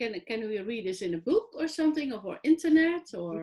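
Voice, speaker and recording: A high-pitched woman's voice with very wide pitch swings, in a European accent. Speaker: online talk show host. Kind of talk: interview. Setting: online video show.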